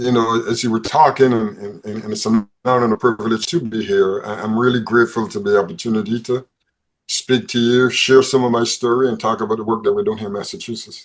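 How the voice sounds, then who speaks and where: A man with a Barbadian accent at a medium pitch, ordinary pitch variation, and a very fast pace. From Barbados. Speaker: probation service head. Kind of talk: panel interview. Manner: repeats words often.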